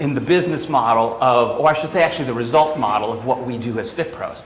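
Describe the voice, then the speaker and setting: Amid noticeable background noise and audible room echo, a man with a New York accent speaks at a very fast pace with lively intonation. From New York, of Italian family. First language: Italian. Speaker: fitness business coach. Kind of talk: training seminar. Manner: casual, animated.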